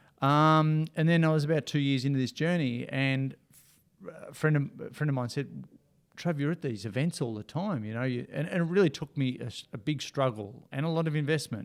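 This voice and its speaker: Speaking with an Australian accent, the voice moves at a fairly quick pace with ordinary pitch variation. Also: man, fairly high pitch for a man. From Australia, Ocean Grove near Melbourne. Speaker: motivational speaker and coach. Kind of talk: casual interview.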